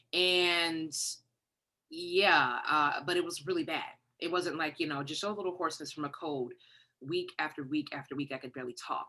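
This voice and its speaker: A bright, sharp tone with ordinary pitch variation. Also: woman, very deep, low pitch for a woman, moderate pace. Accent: American. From Detroit, Michigan. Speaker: songwriter and vocal coach. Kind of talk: interview.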